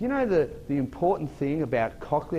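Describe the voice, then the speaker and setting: A man with an Australian accent at a moderate pace, his pitch in very wide swings. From Australia, Sydney. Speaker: motivational speaker. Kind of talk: keynote talk to an audience.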